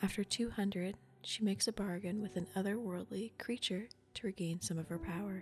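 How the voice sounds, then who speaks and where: Soft-spoken and relaxed in tone, the voice moves at a moderate pace. Music plays in the background. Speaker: ASMR gaming streamer. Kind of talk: game premise explanation to camera. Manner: soft-spoken, relaxed.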